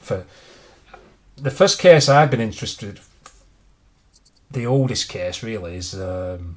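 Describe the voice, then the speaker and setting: At a fairly slow pace, a man speaks at a medium pitch in a somewhat breathy voice with lively intonation, big swings in loudness and long, frequent pauses. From England. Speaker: true crime YouTuber. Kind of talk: casual chat on livestream. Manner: halting, many restarts.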